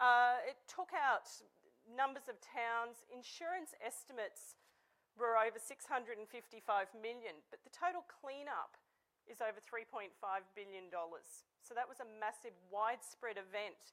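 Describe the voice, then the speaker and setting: A woman with an Australian accent speaks at a moderate pace in a fairly high pitch with a bright, sharp tone. Her intonation is lively, and her loudness swings widely. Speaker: technology company CEO. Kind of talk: conference presentation.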